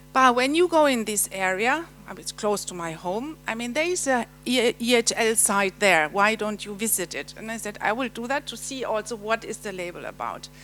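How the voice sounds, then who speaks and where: Over music in the background, a woman with a German accent speaks at a moderate pace in a fairly high pitch, with lively intonation. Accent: German accent noticeable. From Germany. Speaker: European Commission official presenting. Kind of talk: conference presentation. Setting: seminar hall with audience. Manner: halting, many fillers.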